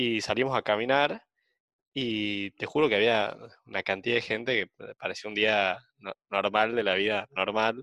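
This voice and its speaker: A man's fairly low voice at a fairly slow pace, bright and sharp in tone, with fairly even intonation and a dry, close sound with no echo. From outside Buenos Aires. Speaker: podcast co-host, university student. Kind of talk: casual chat. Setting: video call.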